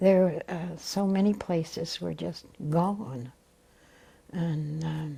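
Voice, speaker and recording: A woman speaks at a very slow pace with long, frequent pauses, in a somewhat breathy, dark and mellow tone. Her pitch is fairly low, with ordinary pitch variation. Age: 80s+. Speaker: WWII veteran. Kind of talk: oral history interview. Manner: halting.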